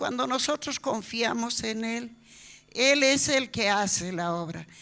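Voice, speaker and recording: In a very clean recording with a silent background, a woman's fairly high, bright, sharp voice shows ordinary pitch variation. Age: 70s. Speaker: church member. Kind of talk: testimony. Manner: halting.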